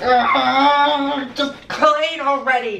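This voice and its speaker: Room echo is audible as a man speaks in a raised, projected voice. His intonation stays fairly even over light background noise. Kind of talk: comedy sketch dialogue. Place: home room. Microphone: camera far.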